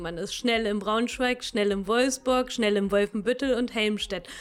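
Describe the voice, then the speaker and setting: Here is a woman with an ordinary speaking voice. She keeps a moderate pace and ordinary pitch variation. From Lower Saxony, Königslutter area. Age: 30s. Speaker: agricultural scientist. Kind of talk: interview.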